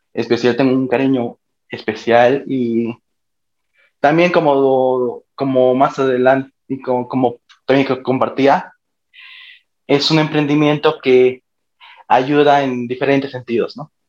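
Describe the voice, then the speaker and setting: Very slow and full of long, frequent pauses, a man's medium-pitched voice stays monotone and flat. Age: 20s. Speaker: university student. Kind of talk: interview.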